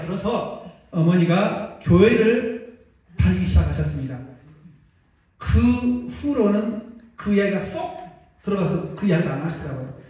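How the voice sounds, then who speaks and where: A man speaks at a moderate pace with long, frequent pauses, amid audible room echo and noticeable background noise. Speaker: pastor. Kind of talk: sermon.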